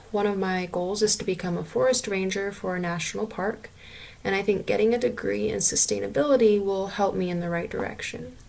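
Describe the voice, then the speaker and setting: Noticeable background noise sits under speech that moves at a fairly quick pace with ordinary pitch variation. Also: woman, medium pitch for a woman. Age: 20s. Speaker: student. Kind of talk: self-introduction. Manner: hesitant with fillers.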